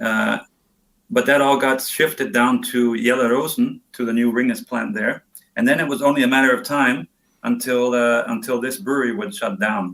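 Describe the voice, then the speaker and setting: A man's medium-pitched voice with an American accent, moderate pace and ordinary pitch variation. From US Northwest, Montana. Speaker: brewmaster. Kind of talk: podcast interview. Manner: halting, many fillers.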